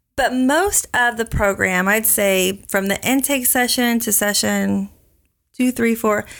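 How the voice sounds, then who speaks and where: In an American accent, a woman uses an ordinary speaking voice at a fairly high pitch and a fairly slow pace, with ordinary pitch variation on a very clean recording with a silent background. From Oklahoma. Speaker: counselor. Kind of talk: interview.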